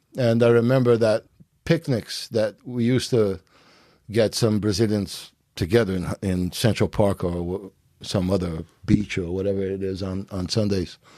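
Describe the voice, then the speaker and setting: Recorded very cleanly against a silent background, a man with a dark, mellow tone speaks at a moderate pace, his fairly low pitch showing ordinary pitch variation. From Brazil, Rio de Janeiro. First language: Portuguese. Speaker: jiu-jitsu master. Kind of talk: podcast interview.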